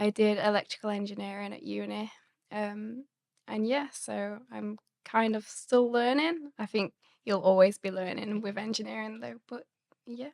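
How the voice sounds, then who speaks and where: In an English accent, a woman speaks at a moderate pace with big swings in loudness and a dry, close sound with no echo. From England, Sheffield. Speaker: graduate engineer. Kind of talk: casual interview chat.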